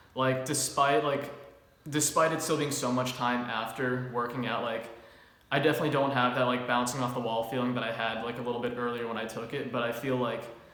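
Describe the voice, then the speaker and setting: A man's medium pitch and monotone, flat intonation at a fairly quick pace, with audible room echo and noticeable background noise. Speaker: fitness youtuber. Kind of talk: product review chat. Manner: fast; casual, many filler words.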